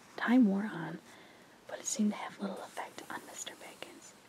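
Someone whispers over noticeable background noise. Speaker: ASMR creator. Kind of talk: sleep story reading. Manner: whispered, soft-spoken.

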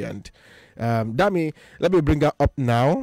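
Faint music sits in the background behind a man's voice. The sound is dry with no echo, and his pitch variation is ordinary. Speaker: radio show host. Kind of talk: radio host chat and interview questions. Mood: cheerful, laughing. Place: studio. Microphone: studio mic.

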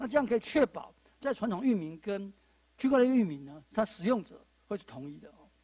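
Against a quiet background, a man with a high pitch and a dark, mellow tone talks at a fairly quick pace, with very wide pitch swings and big swings in loudness. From Taiwan. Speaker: panel moderator, judge and law lecturer; panel moderator, judge, law lecturer. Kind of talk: panel moderation. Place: studio. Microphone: handheld.

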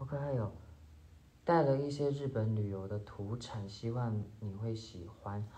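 Speaking at a fairly slow pace with long, frequent pauses, a man keeps a medium pitch with ordinary pitch variation. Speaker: actor. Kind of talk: livestream gift unboxing chat. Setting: solo phone livestream with earphone mic. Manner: casual, occasionally halting. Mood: cheerful, amused. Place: home room. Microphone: phone near.

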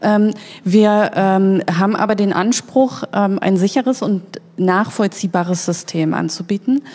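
At a fairly slow pace, a woman speaks at a medium pitch in a plain, everyday voice. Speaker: press spokesperson for online voting company. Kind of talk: panel discussion.

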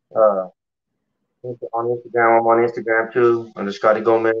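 Over music in the background, a man with an American accent talks at a moderate pace and medium pitch. His intonation is monotone and flat. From Colorado (Pueblo). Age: 30s. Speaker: professional boxer. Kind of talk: casual interview. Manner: halting. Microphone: video call.

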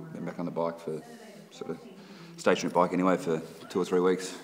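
Over light background noise, a man speaks with a very deep, low pitch. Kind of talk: casual vlog chat. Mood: reflective, slightly frustrated. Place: gym. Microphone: phone near.

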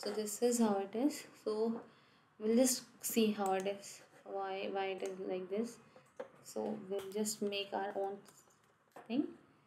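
A soft-spoken woman's dark, mellow voice with fairly even intonation, a fairly slow pace and long, frequent pauses. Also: medium pitch for a woman, big swings in loudness. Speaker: software testing tutor. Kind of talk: screen-share coding tutorial. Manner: halting.

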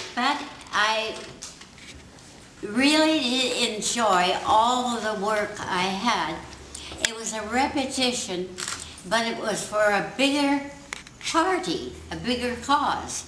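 A woman at a fairly high pitch, very slow and full of long, frequent pauses, with lively intonation over noticeable background noise. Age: 80s+. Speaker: honoured guest giving a speech. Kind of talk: public speech. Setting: community hall. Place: hall. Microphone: camera far.

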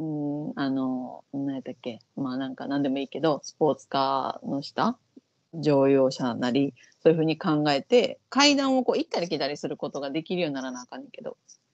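A woman with a Kansai accent and a very deep, low voice, at a fairly quick pace, with ordinary pitch variation, big swings in loudness, and a quiet background. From Japan. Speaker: vocal coach and YouTube host; vocal coach, YouTube host. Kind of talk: casual chat reacting to an audition show. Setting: online call. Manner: fast. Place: home room. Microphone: earbuds.

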